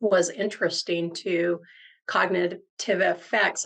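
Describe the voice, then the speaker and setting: A woman at medium pitch talks with vocal fry and a monotone, flat intonation. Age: 60s. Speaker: guest interviewee, brain clinic worker. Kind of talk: interview.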